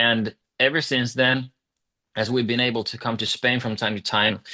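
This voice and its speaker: The voice has a bright, sharp tone and a Swedish accent, moving at a moderate pace over a quiet background. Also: man. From Finland, Swedish-speaking. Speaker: rock singer. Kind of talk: interview.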